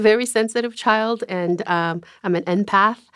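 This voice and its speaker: A woman speaks at a moderate pace in an American accent, her medium pitch showing ordinary variation. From South Korea, then US from age nine. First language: Korean. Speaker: writer and mental health advocate. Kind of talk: interview.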